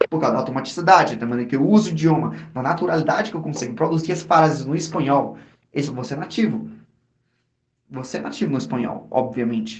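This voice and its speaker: Very fast and fairly high-pitched, a man talks with vocal fry and ordinary pitch variation, with audible room echo. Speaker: podcast host. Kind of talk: casual chat. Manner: animated.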